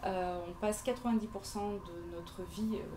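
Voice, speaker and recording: With audible room echo and noticeable background noise, a woman of medium pitch talks at a fairly slow pace with fairly even intonation. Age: 40s. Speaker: interior decorator. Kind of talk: pitch presentation at networking event. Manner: halting, many hesitations.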